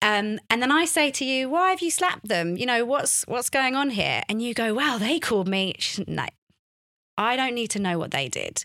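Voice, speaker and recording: A woman speaks in a high, bright and sharp voice with lively intonation, recorded very cleanly against a silent background. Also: moderate pace. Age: 30s. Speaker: journalist and author on faith and recovery. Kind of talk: casual interview chat. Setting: studio.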